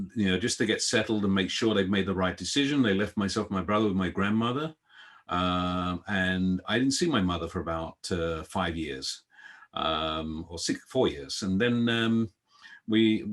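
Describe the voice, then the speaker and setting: Speech at a moderate pace with ordinary pitch variation comes through in a slight British accent. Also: man, fairly low pitch for a man. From London, England (born in Guyana). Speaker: events industry executive. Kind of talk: interview.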